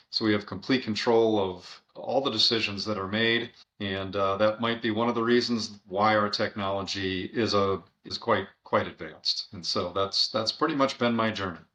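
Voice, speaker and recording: A man talks at a moderate pace with fairly even intonation, an ordinary speaking voice. His pitch sits fairly low. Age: 60s. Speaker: software company CEO. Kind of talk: podcast interview. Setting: remote call.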